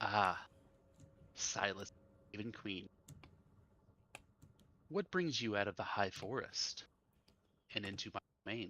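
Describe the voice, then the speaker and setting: Putting on a character voice, a man cackles at a fairly low pitch and a fairly slow pace, leaving long, frequent pauses. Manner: cackling.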